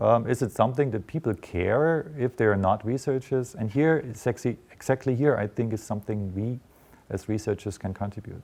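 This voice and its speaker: A man with a German accent, medium pitch and fairly quick pace against a quiet background. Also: ordinary pitch variation. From eastern Germany, Dresden. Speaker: journalism professor. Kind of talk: interview. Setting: studio. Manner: hesitant, many fillers.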